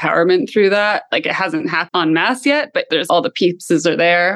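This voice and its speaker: A woman with a Canadian accent and an ordinary speaking voice, fairly low in pitch, at a fairly quick pace. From Canada. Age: 30s. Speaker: health tech entrepreneur. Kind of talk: interview.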